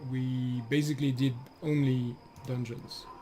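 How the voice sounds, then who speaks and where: A man speaks at a medium pitch with a French accent. Room echo can be heard. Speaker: gaming streamer. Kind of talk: live stream gameplay commentary. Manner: casual, halting with fillers.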